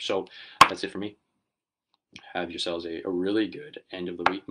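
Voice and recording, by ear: A man does a put-on character voice that is very deep, raspy and hoarse, delivered fairly quickly with a monotone, flat intonation.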